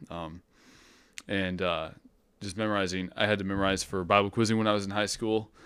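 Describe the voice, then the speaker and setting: A man's fairly low, monotone voice with an American accent, fairly quick but broken by long, frequent pauses, on a very clean recording with a silent background. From US Midwest. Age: 20s. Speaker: Bible college student. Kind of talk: casual chat.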